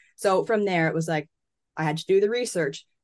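Against a quiet background, a woman with a Canadian accent talks at a moderate pace in an unremarkable speaking voice with ordinary pitch variation. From Canada. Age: 20s. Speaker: sports journalist. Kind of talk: casual interview.

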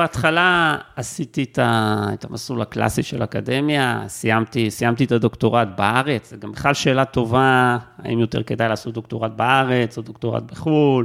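Here a man speaks at a moderate pace with hardly any pauses. His medium pitch shows ordinary variation. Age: 40s. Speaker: university lecturer. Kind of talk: interview conversation. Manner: halting, repeats words.

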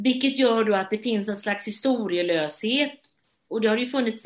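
Lively in intonation, a woman speaks at medium pitch and a moderate pace. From Sweden, Gothenburg. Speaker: theatre director and actress. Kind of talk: interview. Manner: halting.

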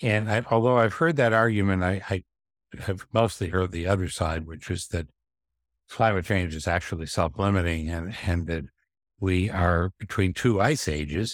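The recording is very clean, with a silent background. A man speaks at a very deep, low pitch with ordinary pitch variation. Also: moderate pace. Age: 60s. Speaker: finance researcher and author. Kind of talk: interview. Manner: halting, with repetitions and fillers.

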